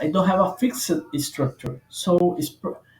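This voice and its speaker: A man's high-pitched voice with a non-native accent at a fairly slow pace. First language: not English. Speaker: software developer. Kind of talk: tutorial. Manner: halting, many fillers.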